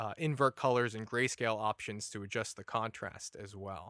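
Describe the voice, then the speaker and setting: A man's unremarkable speaking voice at medium pitch, moderate pace, with ordinary pitch variation. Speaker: assistive technology specialist and podcast host. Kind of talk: casual chat.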